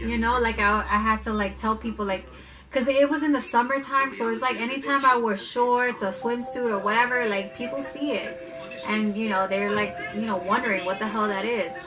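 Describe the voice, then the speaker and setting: A woman speaks at a fairly quick pace with ordinary pitch variation, music playing in the background. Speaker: mother. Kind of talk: casual talk to camera.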